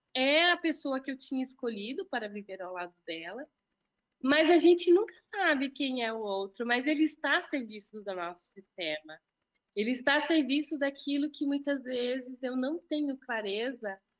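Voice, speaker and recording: A woman speaks at a moderate pace in a high voice, her pitch swinging very widely and her loudness rising and falling sharply. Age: 40s. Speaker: entrepreneur and systemic law mentor. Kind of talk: podcast interview. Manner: hesitant, with many filler words.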